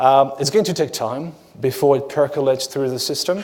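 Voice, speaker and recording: At a moderate pace, a man with a French accent speaks at medium pitch with ordinary pitch variation. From France. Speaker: economist. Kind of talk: conference talk. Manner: hesitant with many fillers.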